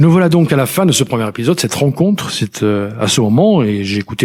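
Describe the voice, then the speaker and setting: A medium-pitched man with lively intonation at a fairly quick pace, on a very clean recording with a silent background. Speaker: podcast host, personal development coach. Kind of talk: solo podcast monologue. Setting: alone at a microphone. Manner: fast; stumbles over words.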